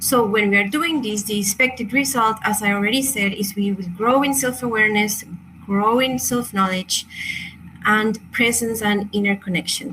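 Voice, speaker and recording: Amid noticeable background noise, a woman in a Chilean Spanish accent speaks at a moderate pace in a fairly high pitch with ordinary pitch variation. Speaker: crystal and meditation workshop teacher. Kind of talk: online workshop presentation. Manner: halting, many fillers and self-corrections.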